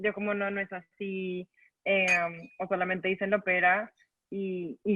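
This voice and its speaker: Here is a woman speaking. Her pitch is medium. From Colombia. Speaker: writer. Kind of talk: panel talk.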